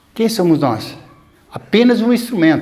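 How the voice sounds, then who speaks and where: Through noticeable background noise, a man speaks at a fairly slow pace with ordinary pitch variation. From São Paulo interior, Brazil. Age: 60s. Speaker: elderly local resident sharing memories. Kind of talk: oral history interview.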